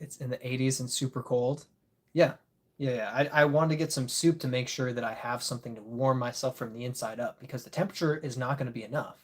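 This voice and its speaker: A man with an American accent talks at a very fast pace in a medium pitch, his intonation fairly even, his loudness swinging widely, and his voice somewhat breathy. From Michigan (Grand Rapids area). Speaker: disc golf content creator, live streamer. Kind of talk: casual live stream chat. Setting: live stream.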